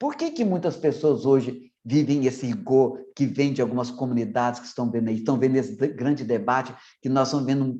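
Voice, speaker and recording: This man's voice is fairly high in pitch with a dark, mellow tone. His intonation is lively. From Minas Gerais, Brazil. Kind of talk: online formation talk. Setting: online meeting. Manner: swallows syllables.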